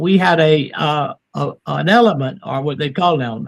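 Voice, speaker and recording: A fairly slow, animated tone with a South Carolina accent. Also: man. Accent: Southern US (South Carolina). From US South. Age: 70s. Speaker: near-death experience author and speaker. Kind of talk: podcast interview. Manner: animated, emphatic.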